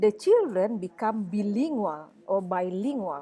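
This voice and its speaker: Her pitch swinging very widely, a woman with a fairly high voice speaks with a West Sumatran accent. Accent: Indonesian (Minangkabau). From Indonesia, West Sumatra (Padang, Minangkabau). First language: Minangkabau. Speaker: university lecturer. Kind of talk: lecture. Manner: halting, with many fillers.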